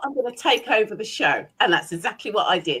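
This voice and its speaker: A woman with an English accent speaks at a fairly quick pace in a fairly high pitch, her bright, sharp tone carrying vocal fry and very wide pitch swings. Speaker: business owner and leadership trainer. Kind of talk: interview. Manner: animated.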